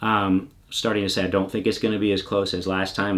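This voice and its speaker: In an unremarkable speaking voice, a man talks at a moderate pace with a fairly low pitch and fairly even intonation, captured in a very clean recording with a silent background. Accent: American. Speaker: political commentary YouTuber. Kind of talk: casual monologue. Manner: many fillers and restarts.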